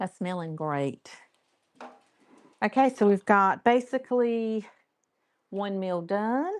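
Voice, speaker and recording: Speaking very slowly with long, frequent pauses and lively intonation in a North Carolina accent, the voice is captured in a very clean recording with a silent background and a dry, close sound with no echo. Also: woman, medium pitch for a woman. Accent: North Carolina Southern American. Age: 60s. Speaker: cooking channel host. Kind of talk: live stream cooking tutorial with chat. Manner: casual, chatty.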